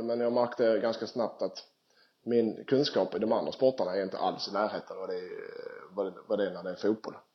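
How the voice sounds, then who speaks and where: With an ordinary speaking voice, a man talks at a moderate pace and a medium pitch. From southern Sweden (Skåne). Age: 30s. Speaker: professional footballer. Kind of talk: casual interview. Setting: Skype call.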